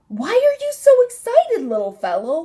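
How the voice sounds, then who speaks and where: A woman performs a put-on character voice, squeaky and extremely high in pitch. She moves at a moderate pace with very wide pitch swings. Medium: read story. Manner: chirpy, talks to herself.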